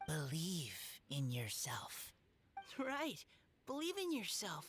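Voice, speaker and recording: Over background music, a man uses a put-on character voice, pitched high and delivered very slowly. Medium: video game. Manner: hesitant, formal.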